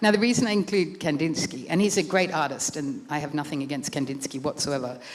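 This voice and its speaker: Delivered at a very fast pace with lively intonation, the voice carries an Australian accent. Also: woman, very deep, low pitch for a woman. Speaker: author and art writer. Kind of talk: book talk with slides.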